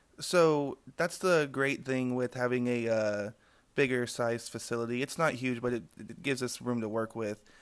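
At a moderate pace and medium pitch, a man speaks with ordinary pitch variation on a very clean recording with a silent background. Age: 20s. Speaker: cannabis grower. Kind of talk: casual interview. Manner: halting, many fillers.

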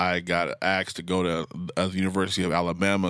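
This voice has an American accent and monotone, flat intonation. The pace is very fast. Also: man. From US Northwest, Portland, Oregon. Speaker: social worker. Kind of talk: casual interview.

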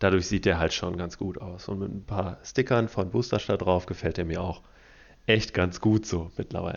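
His voice very deep and low, a man talks at a moderate pace, keeping his intonation fairly even. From Detmold, East Westphalia, Germany. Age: 20s. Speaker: podcast co-host and clothing brand founder. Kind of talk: casual chat.

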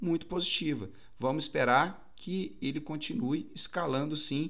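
With vocal fry and lively intonation, a man talks at a moderate pace in a fairly high pitch. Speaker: crypto market commentator. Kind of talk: market update video with chart walkthrough. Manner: casual, conversational.

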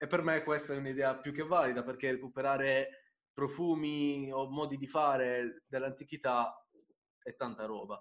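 A man with a normal speaking voice talks in a fairly high pitch at a moderate pace, his intonation fairly even. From Apulia, southern Italy (Bari). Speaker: podcast host. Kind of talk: casual interview chat.

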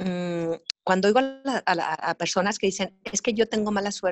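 A woman with a normal speaking voice, medium pitch and ordinary pitch variation. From Sonora, Mexico. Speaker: TV news journalist. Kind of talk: casual chat. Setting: video call.

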